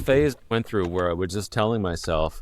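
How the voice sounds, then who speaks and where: At a moderate pace, a man speaks on a very clean recording with a silent background. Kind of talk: conversational. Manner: even delivery, nice tone.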